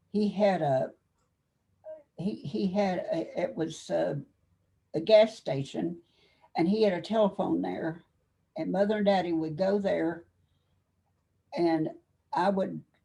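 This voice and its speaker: A woman with an American accent has a fairly low pitch, a dark, mellow tone, vocal fry and ordinary pitch variation. She talks at a fairly slow pace with long, frequent pauses. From Kentucky. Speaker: army veteran. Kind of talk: interview. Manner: halting.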